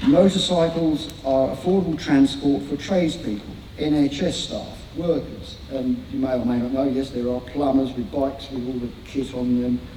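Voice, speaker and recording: With hardly any pauses, a man talks at a fairly high pitch with ordinary pitch variation, amid audible room echo and noticeable background noise. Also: moderate pace. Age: 60s. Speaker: motorcycling campaigner and guest speaker. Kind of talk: public talk to a meeting; reading bullet points aloud. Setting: event hall with live audience. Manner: halting, with repeated words.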